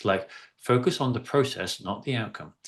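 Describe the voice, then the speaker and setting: Over a quiet background, a man talks with an English accent. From East of England. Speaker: workshop facilitator. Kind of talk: interactive workshop. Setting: video call.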